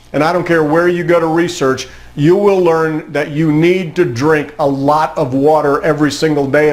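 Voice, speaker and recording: Fairly high in pitch, a man talks at a moderate pace. Audible room echo and noticeable background noise come through. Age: 60s. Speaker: motivational speaker. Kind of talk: motivational talk.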